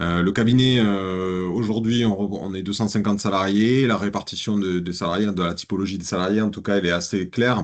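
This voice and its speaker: A man's fairly low-pitched voice with fairly even intonation, in a Toulouse accent. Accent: southern French accent (Toulouse). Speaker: business consultant. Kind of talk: business presentation. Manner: hesitant, many fillers.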